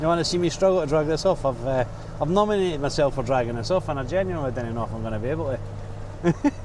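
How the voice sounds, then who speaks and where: With a strong Scottish accent, a man speaks at a very fast pace in a fairly high voice with lively intonation. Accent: Scottish, thick. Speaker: truck driver. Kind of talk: vlog commentary while driving. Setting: in a truck. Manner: casual, chatty.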